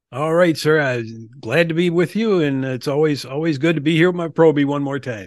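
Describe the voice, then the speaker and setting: With an American accent, a man with a normal speaking voice talks at a fairly quick pace. His pitch is fairly high with ordinary pitch variation. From Milwaukee, Wisconsin, US Midwest. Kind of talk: casual interview.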